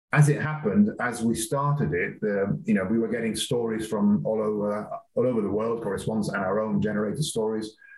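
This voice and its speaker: With audible room echo, a man speaks at a fairly quick pace with lively intonation. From Gibraltar. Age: 50s. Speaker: publishing executive. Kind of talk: interview.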